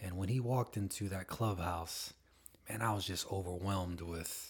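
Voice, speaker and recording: Somewhat breathy, a man speaks at a fairly slow pace in a very deep, low pitch with fairly even intonation. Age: 40s. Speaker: family member, entrepreneur. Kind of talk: casual chat. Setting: home studio.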